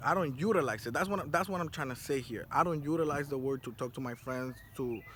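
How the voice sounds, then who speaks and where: A man with a Spanish accent speaks at a fairly quick pace and fairly high pitch. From South Florida. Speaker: vlogger. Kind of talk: casual monologue. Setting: outdoors on a rooftop. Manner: animated.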